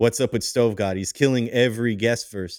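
A man speaks at a fairly quick pace in a plain, everyday voice. The recording is very clean, with a silent background. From Montreal, Canada. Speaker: music journalist. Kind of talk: interview.

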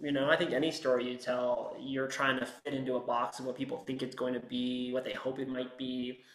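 At a fairly quick pace and with hardly any pauses, a man speaks with an American accent in a medium pitch and monotone, flat intonation. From US, San Francisco Bay Area (West Marin). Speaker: screenwriter. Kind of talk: interview.

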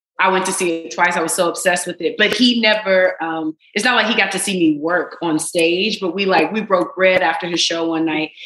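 A woman speaks at a fairly quick pace with hardly any pauses. Her intonation stays fairly even against noticeable background noise. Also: medium pitch for a woman. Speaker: actress. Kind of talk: casual chat.

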